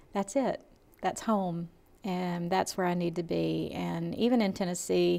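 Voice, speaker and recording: This woman has a Southern US accent. Her pace is fairly slow. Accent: Southern American. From US South, Georgia (Lawrenceville). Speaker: college administrator. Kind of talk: interview.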